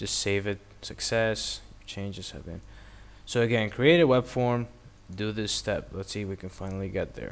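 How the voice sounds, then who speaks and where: A man's fairly low voice at a moderate pace, with ordinary pitch variation and big swings in loudness. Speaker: internet marketing tutorial maker. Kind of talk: screen-recorded software tutorial.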